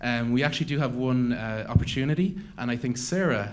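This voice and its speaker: A man with an Irish accent speaks at a medium pitch, with audible room echo. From Ireland. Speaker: event host, startup network founder. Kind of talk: conference announcements.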